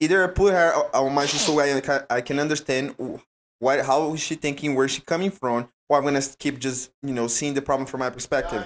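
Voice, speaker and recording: A man with a Brazilian accent speaks at a fairly quick pace. His pitch is fairly high and his intonation fairly even. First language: Portuguese. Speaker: jiu-jitsu athlete. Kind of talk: casual chat.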